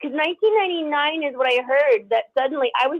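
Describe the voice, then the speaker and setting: A woman speaks at a very fast pace. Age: 40s. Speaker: caller. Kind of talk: call-in conversation. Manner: halting.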